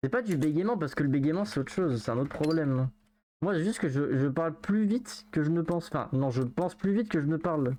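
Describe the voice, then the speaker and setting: Someone mumbles at a very fast pace against a quiet background. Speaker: video game streamer. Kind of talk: live game stream chat. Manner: mumbles words.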